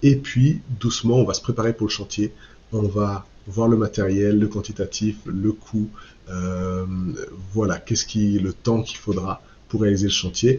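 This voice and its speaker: A man's fairly low, somewhat breathy voice at a fairly slow pace, with fairly even intonation. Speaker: online course creator, eco-construction channel host. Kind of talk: sales pitch. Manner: hesitant, many fillers.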